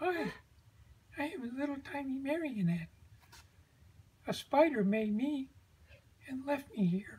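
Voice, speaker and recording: Cartoonish character voice, high-pitched, at a fairly slow pace. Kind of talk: comic puppet play. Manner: panicky, pleading.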